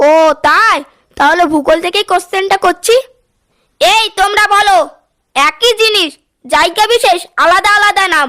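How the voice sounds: A woman adopts a cartoonish character voice, speaking fairly slowly at an extremely high pitch.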